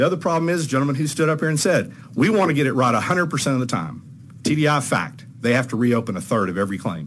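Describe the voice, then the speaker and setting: Pitched at a medium level for a man, an American-accented speaker races at a very fast pace with very wide pitch swings and very even loudness, amid noticeable background noise and audible room echo. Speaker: trial lawyer testifying at legislative hearing. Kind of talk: legislative committee testimony. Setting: committee hearing room.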